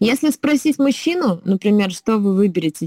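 Her tone dark and mellow, a woman speaks at a moderate pace with lively intonation in a dry, close sound with no echo. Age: 30s. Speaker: slavic gymnastics trainer. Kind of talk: casual chat.

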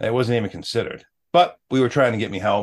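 Talking at a very fast pace, a man with an American accent shows ordinary pitch variation. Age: 40s. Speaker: former firefighter and mental health advocate. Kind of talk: personal testimony in interview.

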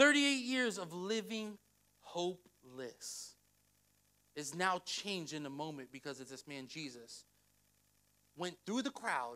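A man's high, bright, sharp voice, raised and projected, animated in tone, with very wide pitch swings at a fairly slow pace. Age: 30s. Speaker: pastor. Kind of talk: sermon.

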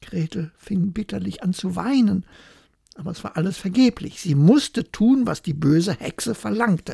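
A woman's medium-pitched voice with a dark, mellow tone, vocal fry and lively intonation, in a dry, close sound with no echo. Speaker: bedtime story narrator. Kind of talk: bedtime story telling, calm fairy-tale reading aloud. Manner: slow, soft, soothing.

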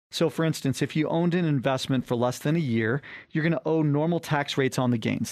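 In a normal speaking voice, a man talks at a fairly quick pace with a fairly high pitch and ordinary pitch variation, the sound dry and close with no echo against a quiet background. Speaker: financial advisor radio host. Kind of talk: infomercial sales pitch. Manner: urgent, pitchy call-to-action; promotional, persuasive and salesy.

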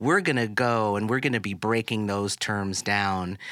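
A man speaks at a moderate pace in a plain, everyday voice, fairly low-pitched with ordinary pitch variation. The recording is very clean, with a silent background. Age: 40s. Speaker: podcast co-host. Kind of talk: casual chat. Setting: studio.

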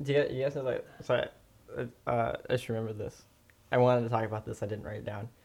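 A man talks at a very fast pace. He leaves long, frequent pauses. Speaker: podcast host. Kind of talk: casual banter. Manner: joking.

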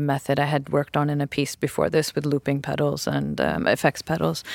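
Speaking at a fairly quick pace with hardly any pauses, a woman talks in an American accent. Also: dry, close sound with no echo. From US West Coast. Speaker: choreographer. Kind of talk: casual chat. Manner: hesitant, many fillers.

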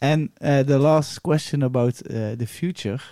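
A man with a Dutch accent, fairly high pitch and a dark, mellow tone in a dry, close sound with no echo. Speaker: podcast host. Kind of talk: casual chat. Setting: studio.

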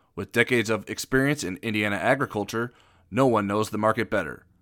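A man with an ordinary speaking voice, medium in pitch, talking at a fairly quick pace with ordinary pitch variation. The recording is very clean, with a silent background. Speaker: podcast host. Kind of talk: interview and podcast discussion.

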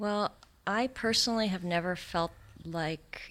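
With an American accent and lively intonation, a woman speaks at a fairly slow pace on a very clean recording with a silent background. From Santa Monica, California. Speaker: sculptor. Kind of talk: interview conversation. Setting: studio.

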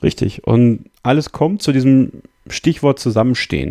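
This man's voice has a dark, mellow tone. He is the one speaking. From Münsterland, Germany. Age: 20s. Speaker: podcast co-host. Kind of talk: casual chat.

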